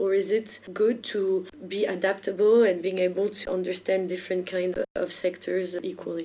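Noticeable background noise sits under a woman speaking with a French accent. Her moderate pace comes with monotone, flat intonation. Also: medium pitch for a woman. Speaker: podcast host. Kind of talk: interview.

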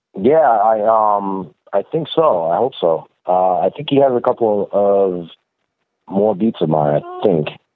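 A man speaks with an unremarkable speaking voice. His intonation is lively and his pace fairly slow. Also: fairly low pitch for a man. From Albany, New York.

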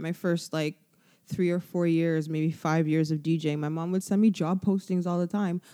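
A woman in a Canadian accent, fairly low-pitched, dark and mellow in tone, at a moderate pace with monotone, flat intonation, on a very clean recording with a silent background. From Canada, Toronto. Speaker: DJ. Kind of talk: casual chat.

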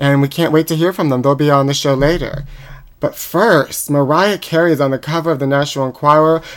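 Speaking with an American accent, a man has a fairly high pitch. He moves at a fairly quick pace with fairly even intonation. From Pittsburgh, US. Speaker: podcast host. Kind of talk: comedic gossip chat. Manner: campy put-on voice.

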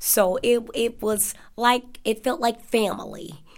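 A woman speaks with an American accent. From Chicago. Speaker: dining hall cashier. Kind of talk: interview. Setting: sit-down interview.

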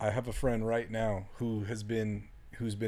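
A man's voice has a dark, mellow tone. The recording is very clean, and the background is silent. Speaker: ultramarathon runner and coach. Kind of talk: casual chat. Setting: in a trailer.

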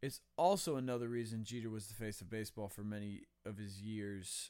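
A man with an American accent speaks in an unremarkable speaking voice at medium pitch and moderate pace. The recording is very clean, with a silent background. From US West, Las Vegas. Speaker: sports podcast host. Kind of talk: solo opinion commentary.

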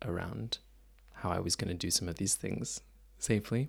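In a Canadian accent, the speaker uses lively intonation and vocal fry at a moderate pace. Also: man. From Canada, Mississauga near Toronto. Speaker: dancer. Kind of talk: interview conversation. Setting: cabin on tour.

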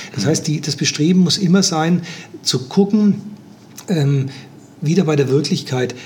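A man with a fairly high pitch speaks with long, frequent pauses. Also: ordinary pitch variation. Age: 60s. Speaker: life coach and systemic therapist. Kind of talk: interview.

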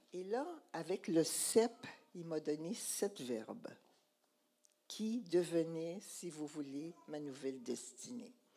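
A woman with a Quebec accent speaks very slowly, with lively intonation and long, frequent pauses. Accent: Québécois French. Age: 80s+. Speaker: church speaker. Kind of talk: sermon testimony.

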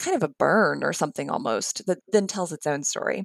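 A woman with an American accent talks in an ordinary speaking voice at a moderate pace, with ordinary pitch variation. The recording is very clean, with a silent background and a dry, close sound with no echo. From US, central West Virginia (Appalachia). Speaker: history professor. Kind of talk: interview.

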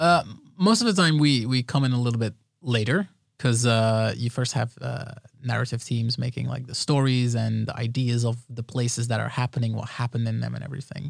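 A man talks at a medium pitch with fairly even intonation. He has a normal speaking voice. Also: fairly quick pace. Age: 20s. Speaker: video game environment artist. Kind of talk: casual chat.

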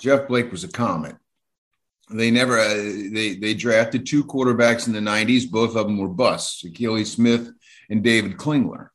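A man has an unremarkable speaking voice at medium pitch. He talks at a moderate pace with ordinary pitch variation. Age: 60s. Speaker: newspaper columnist. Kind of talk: interview.

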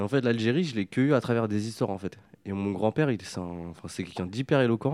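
A man with an unremarkable speaking voice, fairly low pitch and lively intonation, at a fairly quick pace, in a dry, close sound with no echo. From France, Paris suburbs estate of Algerian descent. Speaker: artist, filmmaker and comics author. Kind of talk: interview.

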